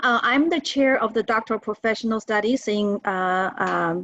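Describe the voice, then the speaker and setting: The speaker has a Chinese accent and keeps a moderate pace. The background is quiet. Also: woman. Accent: Mandarin Chinese accent in English. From China. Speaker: professor. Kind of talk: lecture. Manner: halting, with many fillers.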